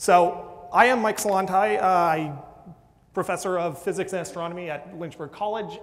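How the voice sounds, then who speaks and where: This man speaks at a moderate pace in a high pitch, with ordinary pitch variation. Noticeable background noise and audible room echo surround his voice. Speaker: physics and astronomy professor. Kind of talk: public science lecture. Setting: lecture hall with audience and microphone. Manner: loud.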